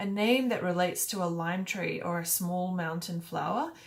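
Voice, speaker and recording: A woman with an Australian accent speaks at medium pitch and a moderate pace, with audible room echo and noticeable background noise. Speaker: YouTuber. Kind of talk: casual talk to camera. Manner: casual, hesitant with fillers.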